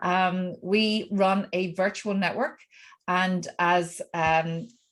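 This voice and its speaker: A woman talks with an Irish accent at a very slow pace. Her intonation is fairly even, and the background is quiet. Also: medium pitch for a woman. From Ireland. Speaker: networking coach. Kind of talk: self-introduction at networking meeting.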